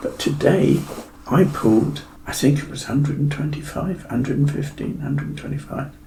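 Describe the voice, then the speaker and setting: A man in a West Country accent speaks at a moderate pace with a fairly high pitch and ordinary pitch variation. Audible room echo and noticeable background noise are present. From Devon, south-west England. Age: 70s. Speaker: fitness client sharing his story. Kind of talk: podcast interview.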